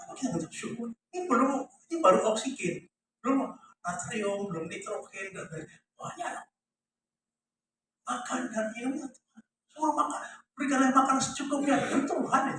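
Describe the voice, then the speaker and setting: An extremely high-pitched man talks at a fairly quick pace, with long, frequent pauses. His pitch swings very widely, and his loudness shifts a lot. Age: 80s+. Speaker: pastor. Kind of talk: sermon. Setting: church.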